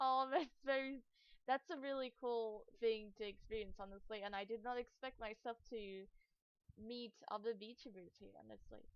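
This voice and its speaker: A woman with a non-native accent speaks at a moderate pace in a fairly high pitch with ordinary pitch variation. Her loudness swings widely. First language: not English. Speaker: streamer. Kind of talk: casual chat. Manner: soft-spoken.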